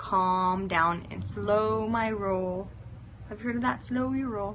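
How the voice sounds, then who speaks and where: A woman speaks very slowly with lively intonation. The room echo is audible. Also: medium pitch for a woman. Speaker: fitness influencer. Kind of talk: casual live-stream chat.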